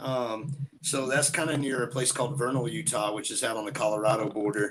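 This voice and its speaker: A man's medium-pitched voice in a Southern US accent, at a fairly quick pace with ordinary pitch variation. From Georgia, US South. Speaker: bigfoot enthusiast and musician. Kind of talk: casual chat.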